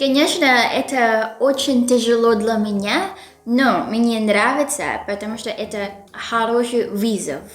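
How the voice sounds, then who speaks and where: With music in the background and audible room echo, a woman with a Filipino accent speaks at a very slow pace, at a fairly high pitch with ordinary pitch variation. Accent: Filipino accent in Russian. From Philippines. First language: Filipino (speaking Russian). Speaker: YouTuber, language learner. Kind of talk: scripted vlog intro; casual interview chat.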